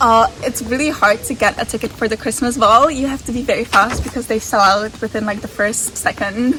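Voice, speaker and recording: Over noticeable background noise, a woman speaks at a fairly high pitch and a fairly quick pace, with hardly any pauses and ordinary pitch variation. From Czech Republic. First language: Czech. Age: 20s. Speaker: university student. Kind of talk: interview answer.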